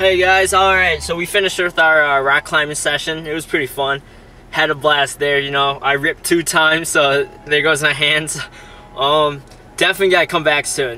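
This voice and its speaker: In a dry recording with no echo, a man speaks at a moderate pace with fairly even intonation. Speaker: vlogger. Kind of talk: casual vlog chat. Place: car. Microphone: phone near.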